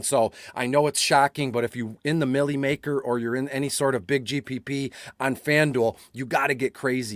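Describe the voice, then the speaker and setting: A man at a fairly quick pace, in a dry, close sound with no echo. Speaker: fantasy football analyst. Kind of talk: casual chat. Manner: fast; animated.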